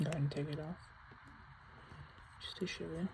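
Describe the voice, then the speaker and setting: Soft-spoken and whispering, a woman talks in a relaxed tone with vocal fry. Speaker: lighter collector. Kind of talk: casual tutorial. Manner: rambling, relaxed; soft-spoken, near whisper.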